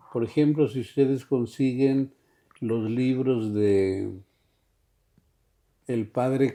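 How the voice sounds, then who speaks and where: Against a quiet background, a man talks at a very slow pace in a dark, mellow tone with fairly even intonation. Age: 80s+. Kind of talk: interview. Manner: halting.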